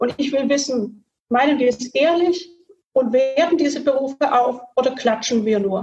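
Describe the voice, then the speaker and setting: The speech moves at a moderate pace with ordinary pitch variation. Its loudness stays very even. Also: woman, high pitch for a woman. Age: 40s. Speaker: state legislator. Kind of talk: casual panel discussion. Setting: video call from home.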